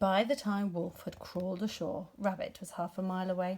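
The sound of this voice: A woman talks with little pitch movement and a slightly mellow tone. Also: medium pitch for a woman, moderate pace.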